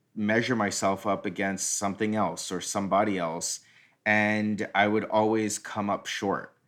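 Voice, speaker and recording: A man speaks at a fairly low pitch in a very clean recording with a silent background. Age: 40s. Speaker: recovery podcast host. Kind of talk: casual chat.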